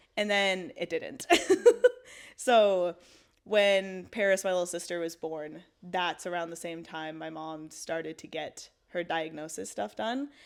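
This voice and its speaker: In a Maritime Canadian accent, a woman speaks at a fairly low pitch and fairly slow pace with ordinary pitch variation. Her loudness swings a lot, and the recording is very clean with a silent background. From Canada, Halifax, Nova Scotia. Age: 20s. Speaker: storyteller sharing a faith testimony. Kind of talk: testimony. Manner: casual, filler-heavy (like, um).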